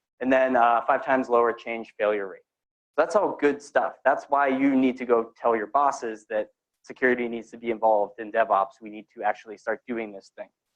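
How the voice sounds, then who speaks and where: At a fairly quick pace, a man with a medium-pitched voice talks with big swings in loudness. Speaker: security engineer giving a tech talk. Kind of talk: conference talk to live audience. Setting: room with live audience. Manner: fast; casual, energetic.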